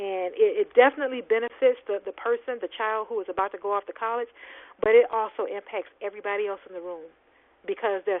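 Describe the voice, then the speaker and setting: With an animated tone, a woman speaks fairly quickly at a fairly high pitch with ordinary pitch variation. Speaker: webinar presenter, education advocate. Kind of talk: webinar presentation. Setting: online webinar. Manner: fast.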